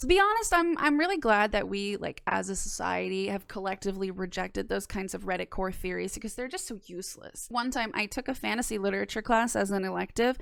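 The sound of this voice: A woman speaks at a fairly quick pace with few pauses, her medium pitch carrying a fairly bright tone, vocal fry and ordinary pitch variation.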